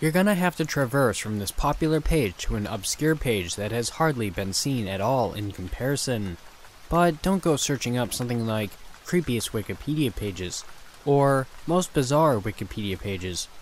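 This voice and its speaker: With lively intonation, an ordinary speaking voice moves at a moderate pace. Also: man. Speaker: horror story narrator. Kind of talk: scripted narration.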